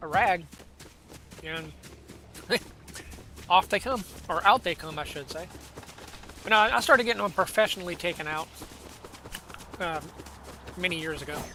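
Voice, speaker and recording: This man's voice is high, with ordinary pitch variation and big swings in loudness. He speaks at a moderate pace with long, frequent pauses, and background noise is noticeable. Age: 40s. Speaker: gaming streamer. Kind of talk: casual chat. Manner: halting.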